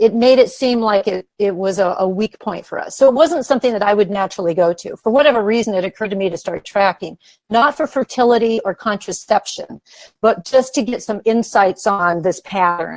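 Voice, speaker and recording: At a fairly quick pace, a woman talks in an ordinary speaking voice at a medium pitch with ordinary pitch variation. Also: dry, close sound with no echo. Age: 60s. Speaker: author and women's wellness teacher. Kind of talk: interview.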